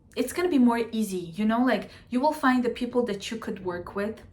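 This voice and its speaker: A woman with a fairly high voice and ordinary pitch variation talks at a moderate pace, with audible room echo and noticeable background noise. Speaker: astrologer. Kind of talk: casual astrology talk to camera. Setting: at home. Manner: animated.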